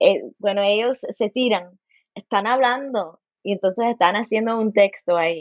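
At a moderate pace, a woman speaks with a fairly high pitch. Her pitch varies in an ordinary way. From US, Los Angeles, Cuban and Puerto Rican family. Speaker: folklore professor. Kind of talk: interview. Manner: halting, many repetitions and fillers.

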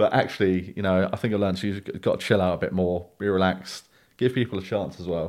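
Speaking very fast with a very deep, low pitch and fairly even intonation, a man comes through on a very clean recording with a silent background. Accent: South London. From South London. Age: 20s. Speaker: dating podcast guest. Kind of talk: casual interview.

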